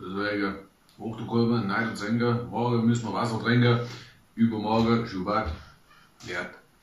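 A man with a Swabian accent at a moderate pace, monotone and flat, with long, frequent pauses and audible room echo. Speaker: travel blogger. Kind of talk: casual talk to camera, food tasting. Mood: relaxed, humorous. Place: home room. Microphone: camera far.

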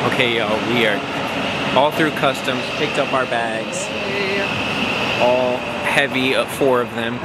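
Loud background noise is heard as the man talks at a fairly slow pace. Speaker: travel vlogger. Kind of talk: casual vlog chat. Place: station. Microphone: phone near.

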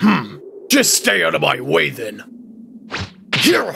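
A man drags out his words very slowly in a put-on character voice. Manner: intense, shouting.

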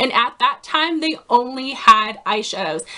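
Her voice raised and projected, a woman speaks with lively intonation. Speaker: beauty vlogger. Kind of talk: casual vlog chat. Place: home room. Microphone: phone near.

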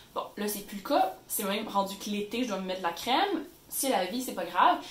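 A woman at a fairly quick pace with lively intonation, plus audible room echo and noticeable background noise. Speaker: YouTuber. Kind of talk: tutorial. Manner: animated.

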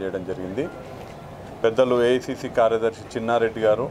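Over noticeable background noise, a man with a medium pitch speaks in fairly even intonation. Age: 30s. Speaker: parliamentary election candidate; candidate. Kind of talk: press statement to media. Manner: formal. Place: street.

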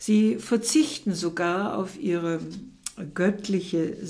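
The voice is reading aloud in a natural voice with ordinary pitch variation.

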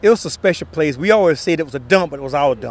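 A man speaks with ordinary pitch variation in a dry sound with no echo and light background noise. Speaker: guest. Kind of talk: interview answer. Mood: warm, nostalgic, laughing at times. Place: open country. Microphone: handheld.

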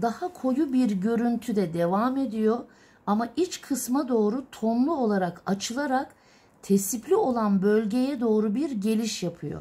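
A woman's dark, mellow tone at a fairly slow pace. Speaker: illumination artist teacher. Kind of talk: tutorial. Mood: calm, patient. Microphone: phone near.

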